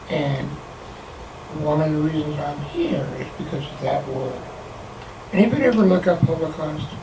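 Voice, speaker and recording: Audible room echo and noticeable background noise surround a man with a fairly high pitch and ordinary pitch variation. He keeps a moderate pace with long, frequent pauses. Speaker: Holocaust survivor speaker. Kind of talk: talk to an audience.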